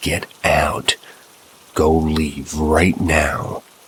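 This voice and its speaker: A man puts on a character voice at a very deep, low pitch. He growls throughout. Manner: angry, shouting.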